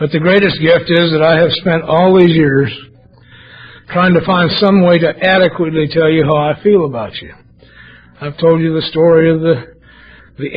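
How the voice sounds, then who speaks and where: Noticeable noise surrounds speech delivered at a moderate speed. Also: man. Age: 60s. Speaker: AA speaker. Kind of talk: testimony. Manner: animated.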